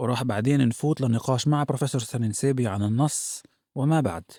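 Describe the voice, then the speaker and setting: Over a silent background in a very clean recording, a man with a medium pitch and a dark, mellow tone talks at a fairly quick pace with ordinary pitch variation, his sound dry and close with no echo. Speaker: podcast host. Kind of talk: podcast introduction.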